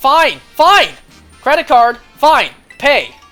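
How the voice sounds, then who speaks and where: Faint music plays behind a high-pitched, put-on character voice. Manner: upset, yelling.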